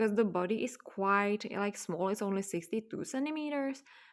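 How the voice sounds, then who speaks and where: This voice has a non-native accent. Its intonation is lively. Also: woman. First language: not English. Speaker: doll hobby vlogger. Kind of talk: casual show-and-tell vlog. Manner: casual with many fillers.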